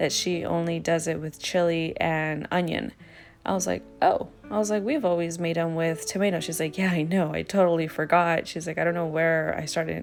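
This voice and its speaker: A woman's fairly low voice, fairly even intonation and a moderate pace over music in the background. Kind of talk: casual cooking talk to camera. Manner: casual, chatty, frequent fillers.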